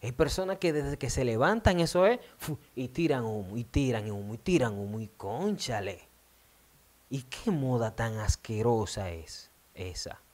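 With a Dominican accent, a man speaks at a fairly slow pace in an animated tone, his pitch swinging very widely. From Dominican Republic. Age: 20s. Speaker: radio host. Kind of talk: video monologue. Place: studio. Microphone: studio mic.

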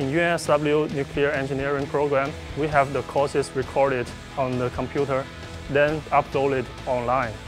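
A man's fairly high voice with a Chinese accent, fairly even intonation, and a moderate pace over clear music in the background. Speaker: nuclear engineering master's student. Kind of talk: interview answer. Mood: calm, earnest. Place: classroom. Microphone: lapel.

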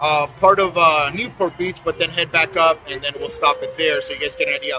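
Faint music plays in the background as a man with a high pitch talks at a fairly quick pace. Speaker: motorcycle vlogger. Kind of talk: casual vlog chat. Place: street.

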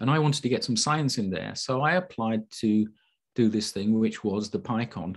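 A man with a Yorkshire accent speaks at a moderate pace against a quiet background. His pitch is medium, with ordinary pitch variation. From Yorkshire, Sheffield. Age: 60s. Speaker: physicist. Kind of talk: online talk. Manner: halting, many fillers.

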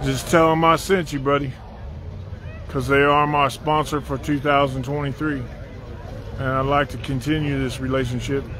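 Against crowd noise in the background, a man with a fairly high pitch speaks in a monotone, flat intonation with long, frequent pauses, in a dry sound with no echo. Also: moderate pace. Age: 50s. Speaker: drag racing vlogger. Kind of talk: casual chat. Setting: outdoors. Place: stadium. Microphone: phone near.

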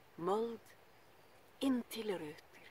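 Speaking at a very slow pace, a woman has a solemn tone in a dry sound with no echo. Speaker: poetry reader. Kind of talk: poem reading. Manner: slow, measured, solemn. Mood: calm, earnest. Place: garden. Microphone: phone near.

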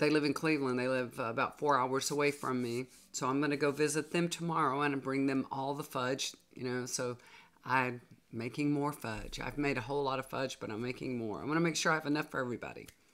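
Pitch varies in an ordinary way. The pace runs fairly quick. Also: woman, extremely low pitch for a woman.

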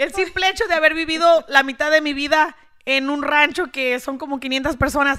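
Against a quiet background, a woman with an extremely high pitch projects a raised voice with a bright, sharp tone at a moderate pace. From rural Mexico. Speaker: social media content creator. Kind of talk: casual interview. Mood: frank, somewhat indignant. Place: studio. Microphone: studio mic.

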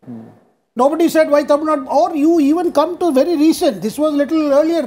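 A man speaks with an Indian accent at an extremely high pitch. His tone is dark and mellow. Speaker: journalist. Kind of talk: TV panel debate. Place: studio. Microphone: lapel.

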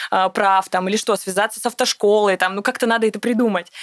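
Very fast delivery in a dry, close sound with no echo. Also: woman. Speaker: entrepreneur, women's club founder. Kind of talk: casual interview. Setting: studio. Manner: animated.

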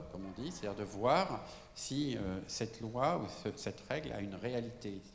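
Lively intonation marks a man's medium-pitched voice, heard with audible room echo and light background noise. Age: 70s. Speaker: architect. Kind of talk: lecture. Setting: stage with audience. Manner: halting. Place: hall.

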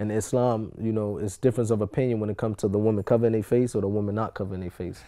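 A man's dark, mellow voice, fairly low in pitch, flat and monotone, at a very fast pace with hardly any pauses over a quiet background. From Newark, New Jersey; New Jersey. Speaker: rapper; interviewee. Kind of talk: interview. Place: studio.

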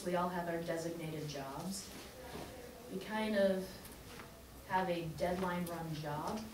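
Against noticeable background noise and audible room echo, a woman speaks at a very slow pace. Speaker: guest. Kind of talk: classroom guest talk. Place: classroom. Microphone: camera far.

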